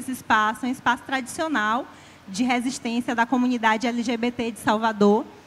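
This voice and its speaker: A woman speaks at a fairly quick pace in a high voice. Her intonation is monotone and flat. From Bahia interior, Brazil (Tanquinho). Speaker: poet, author. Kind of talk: literary panel talk.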